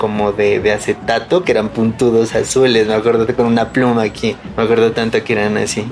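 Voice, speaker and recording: Over noticeable background noise, a man at medium pitch speaks at a fairly quick pace with monotone, flat intonation. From Colombia, Pasto (Nariño). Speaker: carnival costume maker. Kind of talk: interview testimony. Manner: halting.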